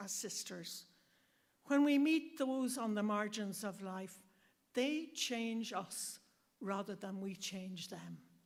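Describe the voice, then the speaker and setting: A woman with an Irish accent speaks at a very slow pace. Her fairly high voice has lively intonation. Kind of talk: speech at launch event.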